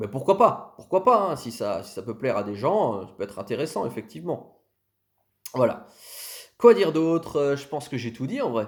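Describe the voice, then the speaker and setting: A man's fairly high-pitched voice with very wide pitch swings, big swings in loudness and long, frequent pauses, on a very clean recording with a silent background. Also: moderate pace. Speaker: content creator on Sicilian history. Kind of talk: casual channel presentation to camera. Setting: self-filmed video.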